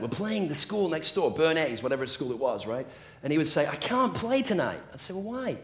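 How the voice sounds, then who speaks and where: Fairly quick speech from a man with an English accent and very wide pitch swings. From England. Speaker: motivational speaker. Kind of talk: motivational talk.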